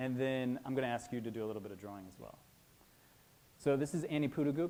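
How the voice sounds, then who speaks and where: Someone speaks at a very fast pace with ordinary pitch variation. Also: man, medium pitch for a man. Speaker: museum educator. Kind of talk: conference presentation.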